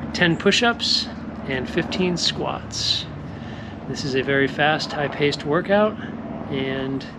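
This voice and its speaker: A man's very slow speech, with ordinary pitch variation, amid noticeable background noise. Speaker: fitness coach. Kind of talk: casual vlog chat. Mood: candid, admits anxiety. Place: garden. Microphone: earbuds.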